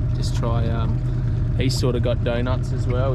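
A man is speaking over loud background noise. The sound is dry, with no echo. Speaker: angler vlogger. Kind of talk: casual vlog chat. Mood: relaxed, a bit disappointed. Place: boat. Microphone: phone near.

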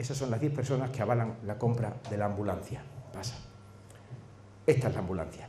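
A man with a fairly low pitch and a dark, mellow tone talks at a fairly quick pace with ordinary pitch variation, and strong room echo surrounds him.

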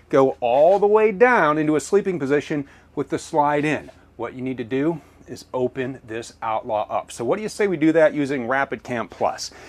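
The man's intonation is lively. He keeps to a moderate pace. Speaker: presenter. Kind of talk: product tour presentation. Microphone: lapel.

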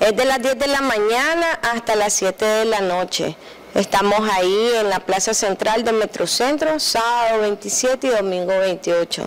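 A woman speaks in a plain, everyday voice at a fairly slow pace. Her pitch is fairly high and her loudness very even. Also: ordinary pitch variation. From Nicaragua. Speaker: artisan entrepreneur. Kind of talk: TV interview. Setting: TV studio. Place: studio. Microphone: handheld.

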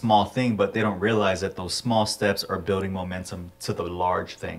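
This man talks at a moderate pace in a normal speaking voice, his intonation fairly even. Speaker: podcast co-host. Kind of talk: casual interview. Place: studio.

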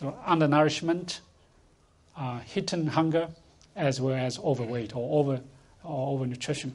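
A man with a Chinese accent and a fairly high pitch speaks with long, frequent pauses, and audible room echo fills the recording. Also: ordinary pitch variation, moderate pace. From rural China. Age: 60s. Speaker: food policy institute director. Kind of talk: panel discussion. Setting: conference stage with audience.

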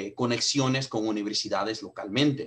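Medium in pitch with ordinary pitch variation, this man has a normal speaking voice. He talks at a moderate pace. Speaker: sales director. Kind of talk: webinar introduction. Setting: video call. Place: home room. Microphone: video call.

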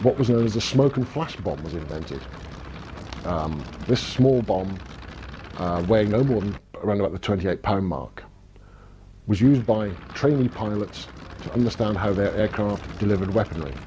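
A man with a fairly low voice speaks at a moderate pace with lively intonation, leaving long, frequent pauses over light background noise. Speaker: documentary narrator. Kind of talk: scripted narration. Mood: calm explanatory. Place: office. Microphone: lapel.

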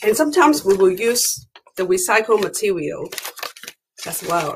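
At a moderate pace, the speech comes over light background noise. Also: woman. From Hong Kong. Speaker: education consultant. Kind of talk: show-and-tell demonstration; interview. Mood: warm, cheerful. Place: home room. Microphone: webcam.

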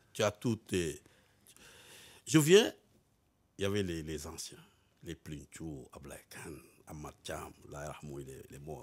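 Very slowly and with long, frequent pauses, a man speaks in a very deep, low voice with vocal fry, ordinary pitch variation and big swings in loudness. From Senegal (Dakar); Senegal. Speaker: former footballer, football pundit; football pundit. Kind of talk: casual interview chat. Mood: cheerful, amused. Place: studio. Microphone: studio mic.

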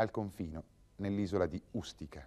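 A man with a fairly low pitch at a moderate pace against a quiet background. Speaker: documentary narrator. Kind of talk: scripted historical documentary narration, measured and authoritative. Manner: formal; steady, even-paced, didactic. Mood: serious, measured. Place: studio.

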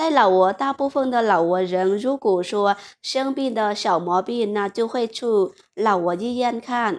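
A woman with a Lao accent speaks at a fairly slow pace. Her fairly high voice has lively intonation. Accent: Lao-accented Mandarin. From Laos. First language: Lao (speaking Chinese). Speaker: vlogger. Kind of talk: vlog monologue. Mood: warm, earnest. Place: home room.

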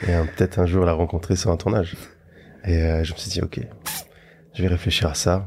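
A man speaks with a very deep, low voice. His delivery is somewhat breathy. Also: quiet background. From Luxembourg, later France. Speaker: actor. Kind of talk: casual interview. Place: studio. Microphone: studio mic.

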